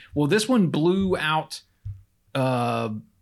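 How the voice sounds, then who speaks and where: A man's fairly high voice rises and falls with lively intonation. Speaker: true crime podcast host and prosecutor. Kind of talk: storytelling a true crime case, casual. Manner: animated, acts out voices.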